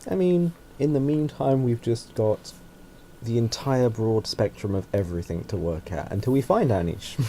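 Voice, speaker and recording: A man speaks at a moderate pace with a medium-pitched voice. His tone is dark and mellow, and his pitch swings very widely. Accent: English. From England. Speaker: podcast co-host. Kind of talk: casual chat.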